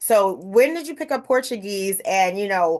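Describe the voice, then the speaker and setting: A woman's unremarkable speaking voice at a moderate pace, lively in intonation, against a quiet background. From Brooklyn, New York. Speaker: interview host. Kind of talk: interview.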